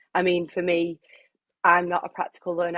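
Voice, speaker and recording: Fairly low-pitched woman with a Lancashire accent, at a fairly quick pace. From Preston, northern England. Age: 20s. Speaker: runner and health worker. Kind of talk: podcast interview.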